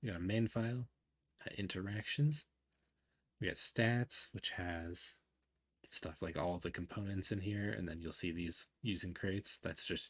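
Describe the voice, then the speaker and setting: In a very deep, low voice that is somewhat breathy, a man talks at a moderate pace with ordinary pitch variation. The recording is very clean, with a silent background. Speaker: indie game developer. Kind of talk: casual devlog talk to camera.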